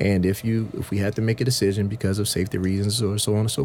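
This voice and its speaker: At a very fast pace, a man with an American accent talks at a fairly low pitch with ordinary pitch variation. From US South, Sumter, South Carolina. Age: 30s. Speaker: youth program director. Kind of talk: radio panel discussion. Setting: radio studio.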